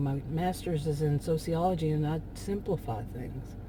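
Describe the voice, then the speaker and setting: A woman is speaking. She has a Texan accent. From Texas. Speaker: vlogger. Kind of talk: casual monologue. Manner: rambling, hesitant.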